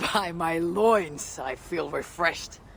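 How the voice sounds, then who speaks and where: In a raspy, put-on character voice at middle pitch, the speaker goes at a fairly slow pace over clear background noise. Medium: video game.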